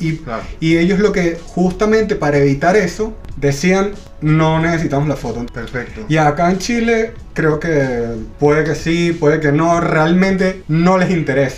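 Fairly slow speech with ordinary pitch variation, plus audible room echo and noticeable background noise. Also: man, high pitch for a man. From Venezuela. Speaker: podcast co-host, industrial designer. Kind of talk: casual chat.

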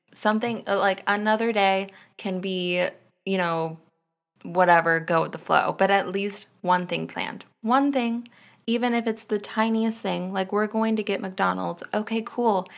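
A woman speaks at a fairly slow pace with fairly even intonation. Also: medium pitch for a woman. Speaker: podcast host. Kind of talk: solo podcast rant, casual and unscripted. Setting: home, at night getting ready for bed, solo recording. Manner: casual, rambly and self-interrupting.

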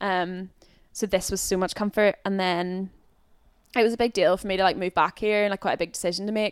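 A woman with a Northern Irish accent talks at a fairly quick pace with monotone, flat intonation. The recording is very clean with a silent background and a dry, close sound with no echo. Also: medium pitch for a woman. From Northern Ireland. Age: 20s. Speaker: youth and schools worker. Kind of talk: casual interview.

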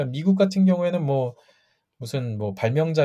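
The man's voice is somewhat breathy. His pitch swings very widely. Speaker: patent attorney. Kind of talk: casual interview.

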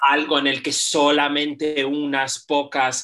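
In a very deep, low voice with a bright, sharp tone, a woman speaks at a very slow pace in a monotone, flat intonation. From Spain. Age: 40s. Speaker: artist and poet. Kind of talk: interview.

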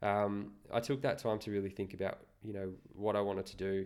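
On a very clean recording with a silent background, a man with an Australian accent and a fairly low pitch speaks at a fairly quick pace. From Australia, Newcastle NSW. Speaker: podcast co-host. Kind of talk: casual chat. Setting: at home.

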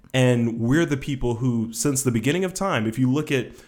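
A man talks with a Southern US accent. His pitch variation is ordinary. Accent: Southern US drawl. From Georgia, US South. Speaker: podcast co-host. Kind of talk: casual chat.

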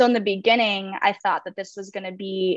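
A plain, everyday voice from a woman with an American accent, medium in pitch with fairly even intonation, dry and close with no echo against a quiet background. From Minnesota, Minneapolis area. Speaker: social club founder. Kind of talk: casual chat.

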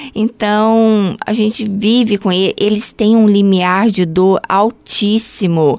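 A woman speaks at a medium pitch and a very slow pace, with hardly any pauses. Her intonation is fairly even and her loudness stays very even. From Brazil, Goiânia (Goiás). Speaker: health unit supervisor at a ballet school. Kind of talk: interview.

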